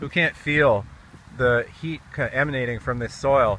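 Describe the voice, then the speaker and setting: Here a man with a fairly high pitch speaks in an American accent. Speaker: gardener and video blogger. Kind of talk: casual outdoor vlog tutorial. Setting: outdoors in a community garden. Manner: loud; casual, halting with fillers.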